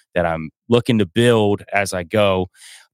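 A man with a Southern US accent, dry and close with no echo, on a very clean recording with a silent background. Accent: Southern US (Georgia). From US South, North Georgia mountains. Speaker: podcaster and musician. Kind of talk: casual interview chat.

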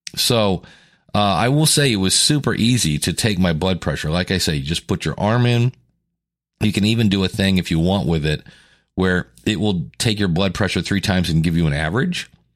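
A raspy, very deep, low-pitched man at a fairly quick pace, with lively intonation and very even loudness, on a very clean recording with a silent background. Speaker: podcast host. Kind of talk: solo podcast monologue about weight loss. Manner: casual, with filler words.

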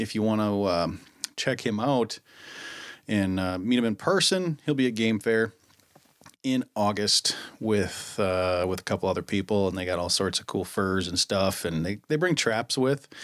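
This man has an American accent. His pitch is fairly low. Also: ordinary pitch variation, moderate pace. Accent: Minnesotan, noticed by others. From Minnesota. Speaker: podcast host. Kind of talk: casual chat. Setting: studio. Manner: laughs often.

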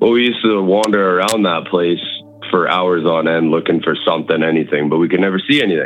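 A man with a very deep, low pitch talks at a very fast pace with ordinary pitch variation and very even loudness as music plays in the background. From Manitoba, Canada. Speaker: caller to a paranormal call-in show. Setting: phone.

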